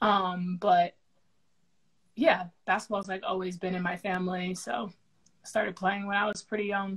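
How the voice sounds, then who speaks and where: Somewhat breathy and medium-pitched, a woman talks with fairly even intonation and long, frequent pauses. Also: moderate pace. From New Jersey (Somerset County, Central Jersey). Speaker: professional basketball player. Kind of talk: casual interview.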